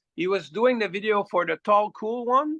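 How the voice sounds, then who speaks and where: A man speaks with a slight French Canadian accent and a bright, sharp tone. The sound is dry and close, with no echo. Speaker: rock singer. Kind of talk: casual chat. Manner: halting with many repetitions.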